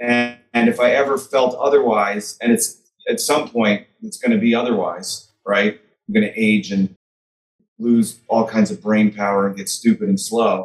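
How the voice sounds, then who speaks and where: Against a quiet background, a man with an American accent speaks at a moderate pace, taking long, frequent pauses. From US Midwest, Chicago. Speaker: author; podcast guest. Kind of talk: interview. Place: home room. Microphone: webcam.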